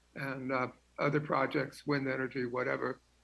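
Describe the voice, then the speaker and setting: Fairly high in pitch, this man's voice is flat and monotone, with vocal fry. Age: 80s+. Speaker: public commenter at city council meeting. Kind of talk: public comment. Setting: teleconference.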